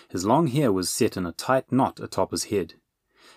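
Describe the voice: A plain reading-aloud delivery with lively intonation over a quiet background.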